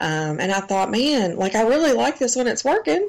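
In a Southern US accent, a woman talks at a moderate pace with very wide pitch swings. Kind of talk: casual chat.

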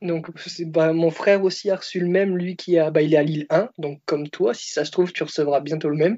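An unremarkable speaking voice from a man, fairly high-pitched, with fairly even intonation and a fairly quick pace. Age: 20s. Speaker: car salesman. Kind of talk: casual chat. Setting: Skype call.

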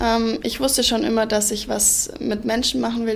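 A woman talks at a moderate pace with a fairly high pitch. Noticeable background noise and audible room echo surround her. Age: 20s. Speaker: ice hockey player and social work student. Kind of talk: interview.

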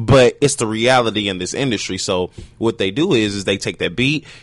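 This man has a normal speaking voice at a medium pitch. His intonation is lively and his pace fairly quick. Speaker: panelist. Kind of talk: casual group chat.

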